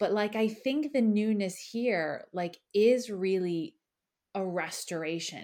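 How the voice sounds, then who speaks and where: A woman speaks very slowly at a medium pitch with ordinary pitch variation. Her tone is dark and mellow, on a very clean recording with a silent background. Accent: Philadelphia. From Philadelphia, US. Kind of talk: casual chat.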